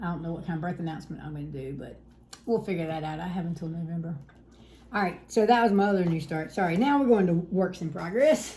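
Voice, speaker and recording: A woman's fairly low voice in a Southern US accent at a very fast pace, with big swings in loudness, noticeable background noise and audible room echo. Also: ordinary pitch variation. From South Carolina. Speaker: cross-stitch video host. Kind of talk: casual chat.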